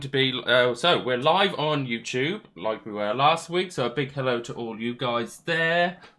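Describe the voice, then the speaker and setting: A man with a Norfolk accent speaks at a medium pitch with a bright, sharp tone. His intonation is lively and his pace fairly slow. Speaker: quiz host. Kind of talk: live virtual quiz hosting. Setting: live stream with video call participants.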